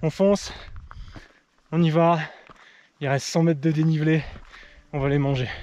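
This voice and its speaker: At a moderate pace, a man with a fairly high pitch and a dark, mellow tone speaks with fairly even intonation and long, frequent pauses. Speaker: cycling adventurer vlogger. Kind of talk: outdoor vlog narration. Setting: outdoors on a mountain. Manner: halting, repeating words; loud when happy.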